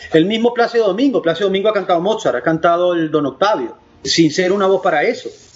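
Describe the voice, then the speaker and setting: Speaking with a Venezuelan accent, a man goes at a very fast pace. His pitch is high, with ordinary variation. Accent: mild Venezuelan. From Venezuelan Andes (Valera). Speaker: opera tenor. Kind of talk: interview.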